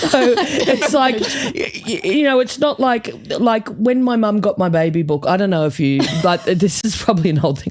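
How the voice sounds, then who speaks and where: With music in the background, the voice moves at a moderate pace with very wide pitch swings. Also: woman. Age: 50s. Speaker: comedian. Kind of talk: casual podcast chat. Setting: studio. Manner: animated.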